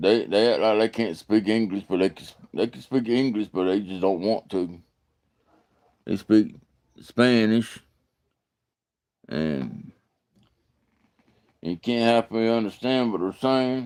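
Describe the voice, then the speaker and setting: In an Alabama accent, a man talks at a fairly slow pace with long, frequent pauses and ordinary pitch variation. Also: medium pitch for a man. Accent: US Southern (Alabama). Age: 40s. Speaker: live streamer, bible study host. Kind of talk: casual live stream chat. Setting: live stream. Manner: halting, repetitive.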